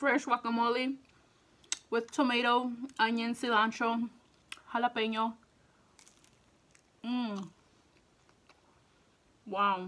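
Speaking very slowly with long, frequent pauses, a woman has a bright, sharp tone and a fairly high pitch. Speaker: food mukbang / eating show YouTuber. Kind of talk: casual talk to camera. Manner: upbeat, enthusiastic. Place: home room.

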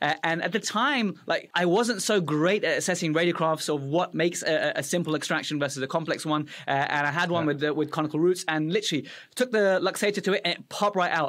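Over a quiet background, a man with a British accent talks at a fairly quick pace with hardly any pauses. His pitch is high for a man, his tone is enthusiastic and his pitch variation is ordinary. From Afghanistan, raised in UK. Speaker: dental podcast host, dentist; podcast host. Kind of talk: educational interview. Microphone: studio mic.

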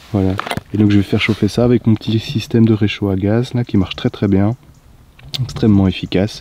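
A man speaks at a fairly quick pace in a fairly low, dark, mellow voice with a slightly husky edge and fairly even intonation.

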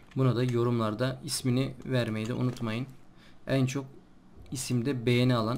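Monotone, flat intonation with audible room echo. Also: man. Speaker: gaming YouTuber. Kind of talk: let's play commentary. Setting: recording at night.

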